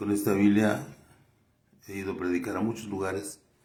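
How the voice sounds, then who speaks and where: A man's somewhat breathy voice, dark and mellow, fairly low in pitch, at a moderate pace with audible room echo. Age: 70s. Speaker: lay preacher and doctor. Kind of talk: sermon. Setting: doctor's office. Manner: halting.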